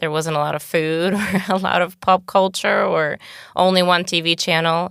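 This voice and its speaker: Speaking at a moderate pace, a woman with a fairly low pitch keeps a monotone, flat intonation on a very clean recording with a silent background. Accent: Bulgarian. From Bulgaria. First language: Bulgarian. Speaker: podcast guest. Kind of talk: interview.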